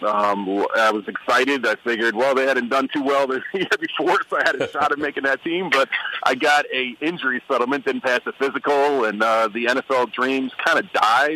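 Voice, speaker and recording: A man with an American accent talks at a fairly quick pace with hardly any pauses, his medium pitch showing ordinary variation over noticeable background noise. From New York, Brooklyn. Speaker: former football player and radio guest. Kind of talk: radio interview.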